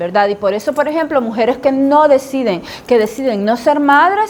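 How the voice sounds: This woman has a high pitch. Her intonation is lively. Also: moderate pace, slightly mellow tone.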